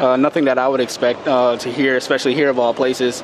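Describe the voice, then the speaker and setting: A man's voice comes through dry with no echo but with noticeable background noise. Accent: American. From South Carolina, US. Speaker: interviewee, foreign resident; interviewee. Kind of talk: street interview. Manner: halting. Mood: serious, reflective. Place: street. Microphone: handheld.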